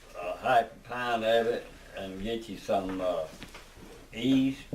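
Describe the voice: A man's fairly even intonation amid audible room echo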